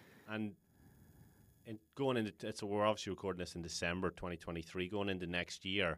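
Speaking very fast with an Irish accent, a man uses a very deep, low voice and fairly even intonation in a very clean recording with a silent background. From Ireland. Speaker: podcast host, health coach. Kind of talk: casual interview; podcast outro. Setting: studio.

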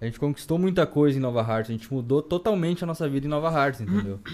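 Using lively intonation, a man speaks at a medium pitch in an ordinary speaking voice. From southern Brazil, Rio Grande do Sul (Campo Bom). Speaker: bodybuilder and barbershop entrepreneur. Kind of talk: casual chat.

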